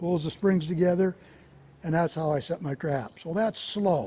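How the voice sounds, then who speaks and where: Dry and close with no echo, the voice has a dark, mellow tone, fairly even intonation and an American accent. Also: man. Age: 70s. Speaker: trapper. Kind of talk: demonstration talk. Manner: casual, folksy.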